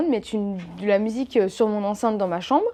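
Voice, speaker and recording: Her pitch is fairly high, and her pitch variation ordinary. A woman talks at a moderate pace. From eastern France. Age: 20s. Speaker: YouTuber. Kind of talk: casual vlog talk to camera. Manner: hesitant, many fillers.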